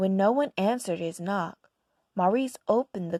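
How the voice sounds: Quiet surroundings behind a natural reading voice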